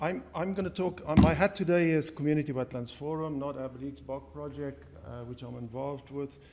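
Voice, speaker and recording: A man with a fairly high pitch speaks in a Namibian accent. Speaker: community wetlands conservation worker. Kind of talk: conference presentation.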